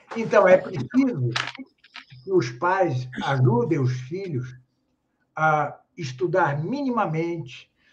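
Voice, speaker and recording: A man speaking at a very slow pace with lively intonation. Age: 70s. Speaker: philosopher and grammarian. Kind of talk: interview. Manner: halting.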